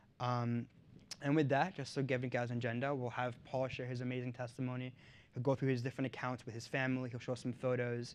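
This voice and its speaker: A man talks at a very fast pace in monotone, flat intonation. The background is quiet. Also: medium pitch for a man. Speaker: event host. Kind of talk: speech introducing a guest.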